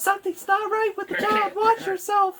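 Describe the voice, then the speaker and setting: Here is a put-on character voice at an extremely high pitch. It moves at a moderate pace. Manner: warning, ominous.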